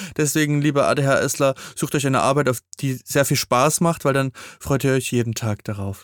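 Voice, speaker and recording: Using an ordinary speaking voice, a man talks at a moderate pace in a fairly high pitch with fairly even intonation, recorded very cleanly against a silent background with a dry, close sound and no echo. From eastern Germany. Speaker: podcast co-host. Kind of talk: casual chat.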